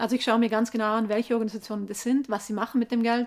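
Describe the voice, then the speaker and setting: Talking very fast, this woman has a fairly high voice. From South Tyrol, Italy (Gasteig near Sterzing). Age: 30s. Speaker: environmental activist, author. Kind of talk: interview. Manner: hesitant, with fillers.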